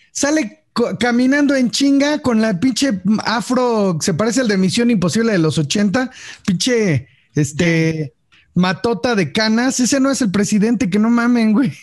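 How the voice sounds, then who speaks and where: Speaking at a fairly slow pace, a man with a high pitch uses lively intonation while his loudness stays very even. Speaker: podcast host. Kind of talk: casual chat.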